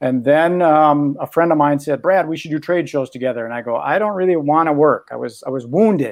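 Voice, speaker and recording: A man with an American accent talks at a fairly quick pace with hardly any pauses, using a plain, everyday voice at a fairly high pitch with ordinary pitch variation against a quiet background. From Minnesota. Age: 60s. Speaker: magician and podcaster. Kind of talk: coaching session.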